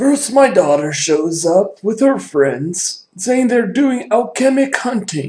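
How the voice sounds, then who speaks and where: Using a put-on character voice, a man speaks fairly slowly at a high pitch. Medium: actual play. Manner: chatty, rambling.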